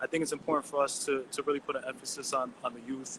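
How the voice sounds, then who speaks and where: With an American accent, a man speaks at a very fast pace and a fairly high pitch. Noticeable background noise runs underneath. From US Northeast (Elizabeth, New Jersey). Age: 30s. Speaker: artist. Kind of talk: interview. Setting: video call. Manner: halting.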